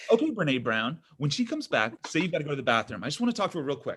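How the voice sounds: A man performs a put-on character voice at a fast pace, fairly high in pitch with big pitch swings. His tone is fairly bright with a slightly husky edge.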